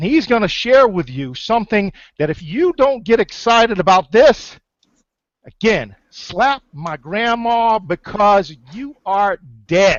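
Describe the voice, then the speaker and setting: Shouting loudly at a very slow pace, a man uses a high pitch with very wide pitch swings. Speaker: webinar host, online marketer. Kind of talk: sales pitch webinar. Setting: online webinar. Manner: loud, yelling; animated, energetic.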